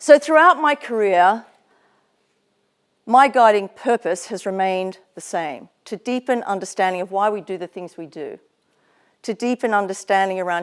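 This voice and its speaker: A woman with an Australian accent at medium pitch, lively intonation and long, frequent pauses, in a dry, close sound with no echo. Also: big swings in loudness, very clean recording, silent background. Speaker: psychologist and business founder, guest speaker. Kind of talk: motivational talk at an event.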